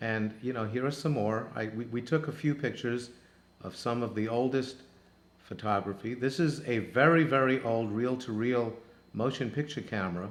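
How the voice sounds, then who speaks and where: His pitch is medium, and this man's voice rises and falls in an ordinary way. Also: moderate pace. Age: 60s. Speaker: travel show host. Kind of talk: narrated photo slideshow. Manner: halting, many fillers.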